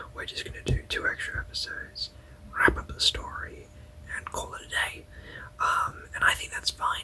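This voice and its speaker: Relaxed whispering at a moderate pace, with long, frequent pauses and noticeable background noise. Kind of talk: whispered ASMR review ramble to camera. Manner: whispering, relaxed, hesitant with fillers.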